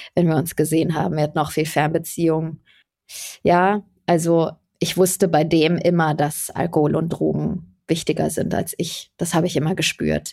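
A woman talks at a fairly low pitch and moderate pace, her tone dark and mellow with vocal fry. Her intonation stays fairly even on a very clean recording with a silent background. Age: 30s. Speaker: podcast host. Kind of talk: casual chat.

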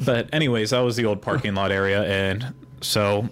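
A Pittsburgh accent at a moderate pace with little pitch movement. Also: man. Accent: American, Pittsburgh.

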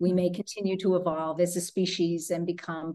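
Against a quiet background, an unremarkable speaking voice with an American accent talks at a fairly slow pace. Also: woman. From New Jersey. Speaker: leadership coach. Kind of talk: interview conversation.

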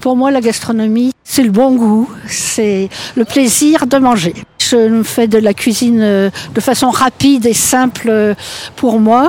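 A woman's fairly high-pitched voice at a very slow pace, with ordinary pitch variation over noticeable background noise. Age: old. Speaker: grandmother interviewee. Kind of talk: interview testimony.

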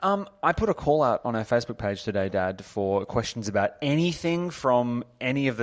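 With hardly any pauses, a man talks at a fairly quick pace in a medium pitch, his pitch swinging very widely. The recording is very clean, with a silent background. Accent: Australian. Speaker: podcast host and author. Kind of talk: casual chat.

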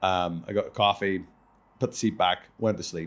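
Speaking with an Irish accent, a man with a fairly low voice uses ordinary pitch variation. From Ireland. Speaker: professional wrestler and podcast host. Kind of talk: casual chat. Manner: fast.

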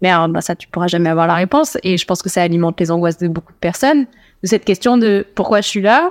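An unremarkable speaking voice belongs to a woman who talks at a fairly quick pace and medium pitch with ordinary pitch variation, in a very clean, dry, close recording with no echo and a silent background. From Toulouse, southwest France. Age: 30s. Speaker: student dietitian. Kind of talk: casual chat. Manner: laughs often.

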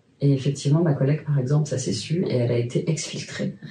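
This woman has a very deep, low pitch and a dark, mellow tone. Her voice is somewhat breathy, with ordinary pitch variation. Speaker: sex educator and sex therapist. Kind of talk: personal testimony in a conversational interview.

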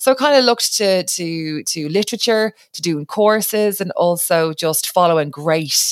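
With a Dublin accent, a woman speaks fairly slowly at fairly low pitch with lively intonation, in a dry, close sound with no echo. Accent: Dublin Irish. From Ireland, Dublin. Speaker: radio broadcaster, podcast co-host. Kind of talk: casual chat.

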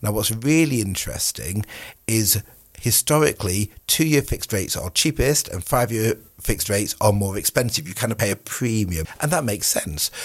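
In a very clean recording with a silent background, a man with a British accent talks at a fairly quick pace and a medium pitch, somewhat breathy and with lively intonation. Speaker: mortgage adviser. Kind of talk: casual chat.

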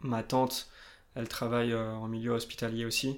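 On a very clean recording with a silent background, a man speaks at a moderate pace and medium pitch in a monotone, flat intonation. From France, Limousin. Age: 20s. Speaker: banker. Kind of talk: casual interview.

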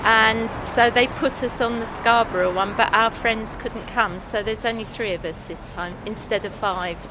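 Her intonation fairly even, a woman talks while noticeable background noise plays behind her. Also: fairly high pitch for a woman, moderate pace, hardly any pauses. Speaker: retired library worker on holiday. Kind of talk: casual street chat. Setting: outdoors.

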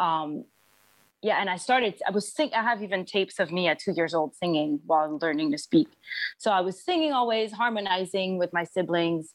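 Fairly quick speech in a French accent, with lively intonation. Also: woman, medium pitch for a woman, very even loudness. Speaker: singer and musician. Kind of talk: interview. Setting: video call.

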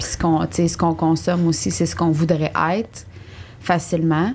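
Over noticeable background noise, a woman with a Quebec accent talks at a moderate pace, her fairly low pitch showing ordinary variation. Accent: Québécois French. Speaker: podcast host. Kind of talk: casual chat.

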